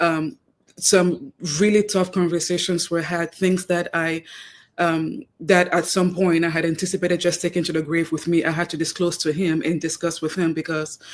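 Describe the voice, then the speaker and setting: Speaking with a Cameroonian accent, a woman uses a fairly low pitch and fairly even intonation at a moderate pace. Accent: noticeable Cameroonian. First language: Cameroonian native tongue, also French. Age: 30s. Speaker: guest, wife. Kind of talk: radio interview.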